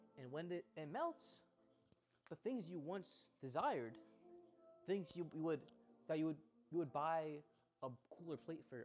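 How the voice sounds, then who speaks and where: Fairly slow, fairly high-pitched speech from a man with lively intonation, music in the background. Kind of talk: casual monologue to camera.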